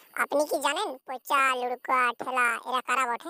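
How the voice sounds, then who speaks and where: A woman does a cartoonish character voice at a high pitch and moderate pace, with a dry, close sound and no echo. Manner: hesitant, folksy.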